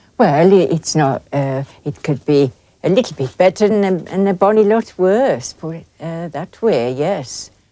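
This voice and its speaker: Her tone is dark and mellow, with a fairly low pitch. The woman talks at a fairly slow pace with lively intonation. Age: 60s. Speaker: hill farmer. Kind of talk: documentary interview. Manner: halting.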